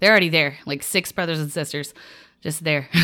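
The recording is very clean, with a silent background. A woman with an American accent speaks in a bright, sharp tone with fairly even intonation. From US South, Little Rock, Arkansas. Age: 30s. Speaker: improv performer. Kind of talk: casual interview.

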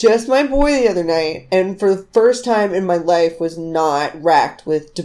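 This plain reading aloud moves with lively intonation.

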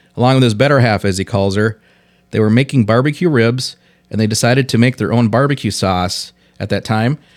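Speaking at a fairly quick pace, a man uses an unremarkable speaking voice at medium pitch with ordinary pitch variation. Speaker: podcast host. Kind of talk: casual interview. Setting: on location in a store.

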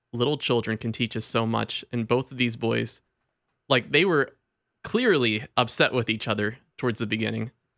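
On a very clean recording with a silent background, a man's medium-pitched voice shows vocal fry, the sound dry and close with no echo. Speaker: audio theater reader. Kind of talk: casual chat.

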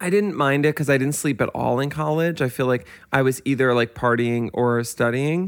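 This is an unremarkable speaking voice at a moderate pace. Its loudness stays very even, and its pitch varies in an ordinary way. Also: man, medium pitch for a man. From New York, Westchester. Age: 30s. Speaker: podcaster. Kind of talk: casual chat.

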